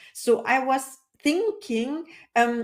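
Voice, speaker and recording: A woman speaks with a non-native accent. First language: not English. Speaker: coach. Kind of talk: interview.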